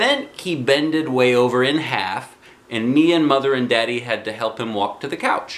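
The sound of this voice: The reading here is done in an unforced voice.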